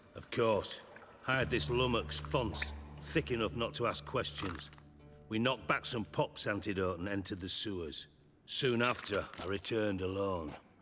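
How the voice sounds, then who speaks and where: A man puts on a gruff character voice at a fairly low pitch. He speaks at a moderate pace with clear music in the background. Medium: video game. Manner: gruff, sarcastic, profane.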